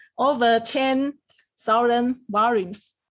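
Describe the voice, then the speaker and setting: A woman with a Chinese accent speaks very slowly in a fairly high voice, her pitch rising and falling in an ordinary way. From Taiwan. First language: Mandarin Chinese. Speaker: academic researcher. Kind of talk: interview. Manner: halting, many fillers.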